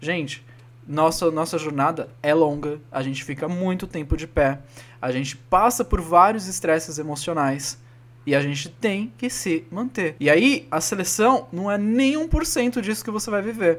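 A high-pitched man with lively intonation at a fairly slow pace. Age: 30s. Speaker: podcast co-host, flight attendant. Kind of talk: casual chat.

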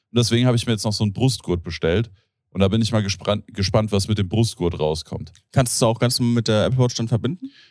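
Talking at a very fast pace, a man is captured on a very clean recording against a silent background. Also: medium pitch for a man, ordinary pitch variation. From Germany, Hesse (Rodgau). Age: 30s. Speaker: podcast host. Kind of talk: casual chat.

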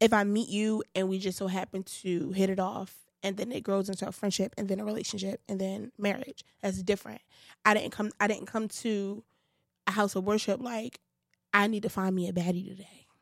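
A woman talks fairly quickly in a Brooklyn accent. Her medium-pitched voice stays monotone and flat. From Brooklyn, New York (Bed-Stuy). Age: 20s. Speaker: podcast co-host, singer-songwriter. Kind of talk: casual chat.

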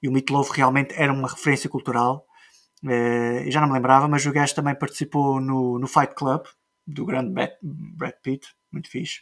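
A man talks at a moderate pace in a fairly high voice. His intonation is monotone and flat. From Azores, Portugal. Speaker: podcast host. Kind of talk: casual chat.

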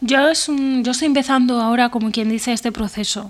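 A woman talks in a plain, everyday voice at a moderate pace. Her intonation stays fairly even. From Spain, Benavente (Zamora). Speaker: screenwriter. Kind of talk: interview. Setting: remote call from home.

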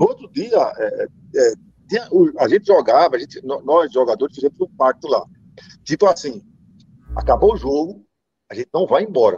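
A man speaks with long, frequent pauses in a dry, close sound with no echo. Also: moderate pace. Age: 50s. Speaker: former football player. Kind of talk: interview.

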